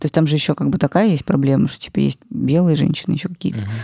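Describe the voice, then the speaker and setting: A woman speaks with a very deep, low pitch, vocal fry and a dark, mellow tone. The sound is dry and close, with no echo. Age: 30s. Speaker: podcast producer and former business journalist. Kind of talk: casual chat.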